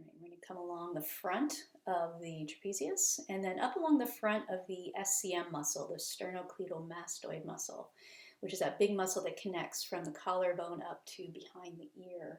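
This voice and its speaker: With hardly any pauses, a woman talks at a medium pitch with ordinary pitch variation. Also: moderate pace, big swings in loudness. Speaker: bodywork and shiatsu teacher. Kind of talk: tutorial. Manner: halting, self-correcting.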